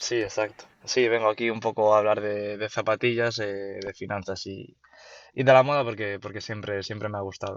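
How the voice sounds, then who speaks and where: In a Galician accent, a man talks at a moderate pace with fairly low pitch and flat, monotone intonation. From Galicia, Spain. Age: 20s. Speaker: university student, sneaker reseller and investor. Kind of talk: interview. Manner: hesitant, many fillers and repetitions.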